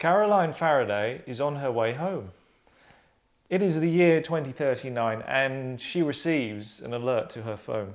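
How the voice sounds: A man talks at a fairly slow pace with a medium pitch. His intonation is lively.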